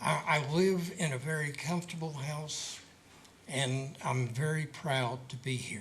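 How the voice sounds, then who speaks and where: Fairly slow male speech amid audible room echo. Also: fairly high pitch for a man, ordinary pitch variation. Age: 70s. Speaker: citizen commenter. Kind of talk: public comment.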